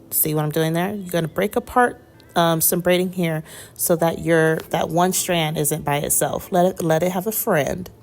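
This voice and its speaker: Music plays in the background. A woman speaks at a moderate pace in a fairly low pitch. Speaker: hair tutorial youtuber. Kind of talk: tutorial. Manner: casual and chatty.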